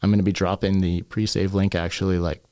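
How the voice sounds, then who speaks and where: A man with a Canadian accent speaks at a fairly low pitch. His tone is dark and mellow, his intonation fairly even. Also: very clean recording, silent background. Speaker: hip hop artist. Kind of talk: casual chat. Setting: studio.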